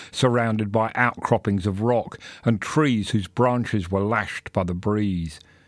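The man has a plain, everyday voice, fairly low in pitch with ordinary pitch variation, recorded dry and close with no echo. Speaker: audiobook narrator reading a short story. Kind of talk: dramatic audiobook-style narration of a gothic horror story, with character voices. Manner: brooding, hushed and suspenseful, with a slow pace and menacing hissed lines.

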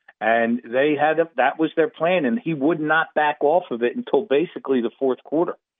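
With a plain, everyday voice, a man talks at a fairly high pitch with lively intonation and hardly any pauses. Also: moderate pace. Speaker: sports betting analyst. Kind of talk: sports talk radio.

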